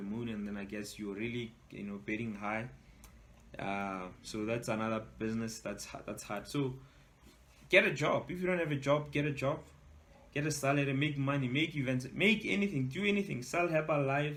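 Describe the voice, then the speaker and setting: Lively intonation marks this man's medium-pitched voice at a fairly quick pace. Audible room echo surrounds him. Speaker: entrepreneur and author. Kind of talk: webinar talk. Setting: online webinar. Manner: casual, hesitant with fillers; fast.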